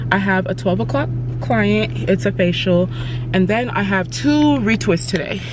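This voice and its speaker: A woman is speaking. The sound is dry with no echo, and there is noticeable background noise. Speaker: stylist vlogger. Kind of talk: casual vlog chat. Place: car. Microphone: phone near.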